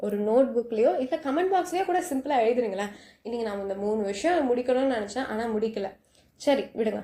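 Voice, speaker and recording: Lively intonation marks this woman's fairly high voice. Her tone is dark and mellow. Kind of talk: casual night talk to listener. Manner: soft, friendly.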